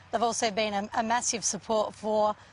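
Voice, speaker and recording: A woman speaks in an Australian accent at a fairly high pitch. Her voice is somewhat breathy. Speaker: air force officer. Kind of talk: TV interview answer.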